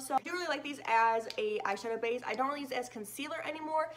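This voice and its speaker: A woman races along at a very fast pace with ordinary pitch variation over noticeable background noise. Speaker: beauty YouTuber. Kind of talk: product review.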